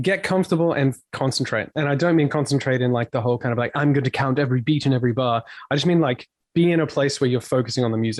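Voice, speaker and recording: A man talks at a very fast pace in an Australian accent. The sound is dry and close, with no echo. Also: medium pitch for a man, ordinary pitch variation, very even loudness. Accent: Australian twang. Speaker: touring metal musician. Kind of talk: podcast interview. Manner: animated.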